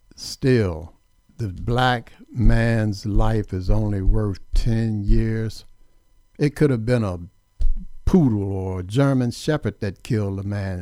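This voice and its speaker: A man speaks at a very slow pace in a fairly low, dark, mellow voice, his loudness swinging widely. The recording is very clean, with a silent background. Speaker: radio host. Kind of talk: radio talk show, political commentary. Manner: opinionated, emphatic.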